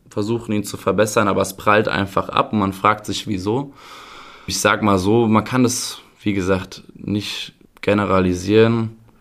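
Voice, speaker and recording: This is an unremarkable speaking voice, a man with a fairly low pitch. He keeps a moderate pace and fairly even intonation. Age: 20s. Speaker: youth football coach. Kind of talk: podcast interview.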